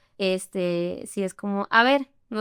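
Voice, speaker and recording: Woman with lively intonation at a fairly slow pace, in a dry, close sound with no echo. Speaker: interview guest. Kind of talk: casual interview chat.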